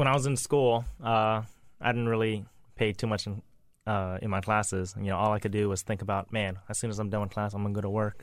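An unremarkable speaking voice with an American accent moves at a fairly quick pace with fairly even intonation, captured in a very clean recording with a silent background. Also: man, fairly low pitch for a man. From US South, Lafayette, Louisiana. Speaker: chef and restaurant owner. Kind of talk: casual interview.

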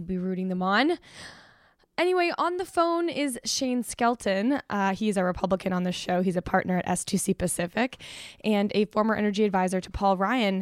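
A woman's normal speaking voice at medium pitch, with lively intonation and a moderate pace, in a very clean recording with a silent background and a dry, close sound with no echo. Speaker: podcast host and editor. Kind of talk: podcast host discussion. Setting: studio in Los Angeles.

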